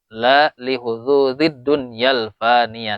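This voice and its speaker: With a Sundanese accent, a man speaks at a medium pitch with fairly even intonation. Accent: Sundanese-accented Indonesian. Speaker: Islamic boarding school teacher. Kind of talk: religious lecture. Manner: explanatory, with hesitations.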